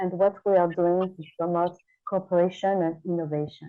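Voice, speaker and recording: A woman speaks at a moderate pace with a French accent. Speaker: tourism organization head, panel host. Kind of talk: panel moderation. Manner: halting, many fillers.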